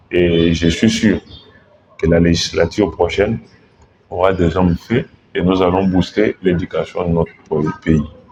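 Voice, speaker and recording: A man with a very deep, low pitch speaks at a fairly slow pace with long, frequent pauses and very even loudness. Noticeable background noise runs underneath. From DR Congo, Mbuji-Mayi. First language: Tshiluba (speaking French). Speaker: political candidate, lawyer. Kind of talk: interview. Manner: formal.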